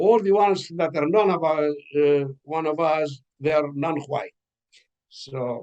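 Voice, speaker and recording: A man with a Greek accent speaks at a fairly high pitch, his pitch rising and falling in an ordinary way. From Greece (Mount Pelion village). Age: 80s+. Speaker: author. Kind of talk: interview conversation. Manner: halting with fillers.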